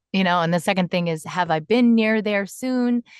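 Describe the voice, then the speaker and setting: A woman with a plain, everyday voice speaks at a moderate pace with lively intonation, in a dry, close sound with no echo and a quiet background. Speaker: voice actor. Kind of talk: interview answer. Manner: casual, chatty.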